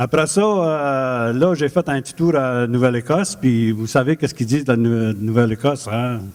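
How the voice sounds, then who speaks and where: A man with a medium pitch speaks at a moderate pace, with hardly any pauses. His loudness swings widely while his pitch varies in an ordinary way. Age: 60s. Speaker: mayoral candidate. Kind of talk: campaign speech. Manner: halting.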